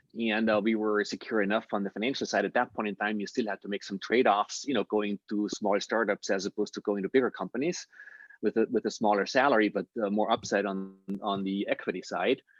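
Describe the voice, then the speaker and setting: Speaking at a very fast pace, a man with an Austrian accent keeps a fairly low pitch and fairly even intonation. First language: German. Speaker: impact investor. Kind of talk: interview Q&A.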